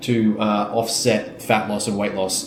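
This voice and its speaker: Speaking with an Australian accent, a man has a fairly low pitch. The room echo is audible and the background noise noticeable. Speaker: fitness coach and business owner. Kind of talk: podcast conversation.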